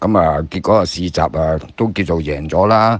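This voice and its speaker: Over noticeable background noise, a man with a Hong Kong accent talks fairly slowly in a very deep, low voice with ordinary pitch variation. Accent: Hong Kong Cantonese. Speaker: former jockey and horse trainer. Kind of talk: casual chat.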